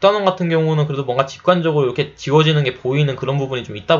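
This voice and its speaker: Very fast talking comes from a man. His voice carries some breathiness. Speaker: chemical engineering tutor. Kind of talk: lecture.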